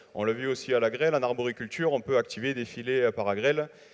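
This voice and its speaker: Speaking with a southern French accent, a man of medium pitch keeps his intonation fairly even at a fairly quick pace. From southern France, Hérault. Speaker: winegrower, young farmers' union leader. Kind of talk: audience question at panel. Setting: congress hall with audience.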